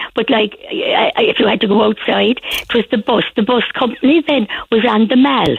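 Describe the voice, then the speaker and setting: In a Cork accent, a woman with a fairly high pitch talks at a moderate pace with hardly any pauses and very even loudness. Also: ordinary pitch variation. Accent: Cork Irish. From Ireland, Cork. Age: 80s+. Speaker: radio interviewee. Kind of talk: casual chat. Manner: halting.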